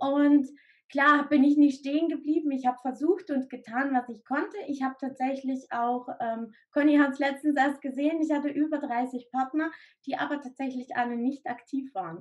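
Her voice sits high in pitch for a woman, moving at a moderate pace with fairly even intonation. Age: 30s. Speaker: direct sales entrepreneur, mother of three. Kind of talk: interview testimony.

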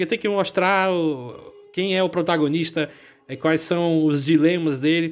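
Over music in the background, a man speaks at a high pitch and a fairly slow pace, with fairly even intonation and long, frequent pauses. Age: 20s. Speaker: podcast host. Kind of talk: casual chat.

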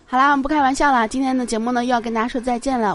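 Under noticeable background noise, a woman speaks in an animated tone. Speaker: podcast host. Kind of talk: casual solo chat show. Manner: animated, laughs often.

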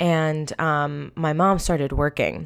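In a very clean recording with a silent background, a woman with a New York accent talks at a very deep, low pitch with fairly even intonation. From Long Island, New York. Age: 20s. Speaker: podcast host. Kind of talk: solo personal testimony. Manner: casual, filler-heavy.

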